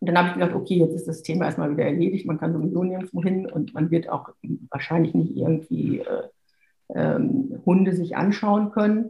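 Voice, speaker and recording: A woman talks at a fairly quick pace with vocal fry. Her fairly low pitch shows ordinary variation. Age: 50s. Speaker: lawyer and dog owner. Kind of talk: interview. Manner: hesitant, many fillers.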